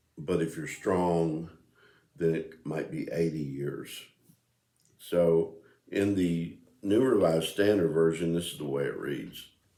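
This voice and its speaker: With audible room echo, a man with a very deep, low pitch speaks at a fairly slow pace in a dark, mellow, relaxed tone, with ordinary pitch variation and long, frequent pauses. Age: 60s. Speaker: video blogger. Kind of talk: casual monologue. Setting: home music room. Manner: relaxed, hesitant with fillers.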